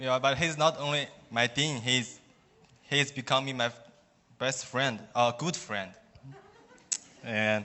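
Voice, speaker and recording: A man with a Chinese accent at a medium pitch, fairly even in intonation and fairly slow in pace. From China. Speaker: student. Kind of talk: testimony. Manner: halting.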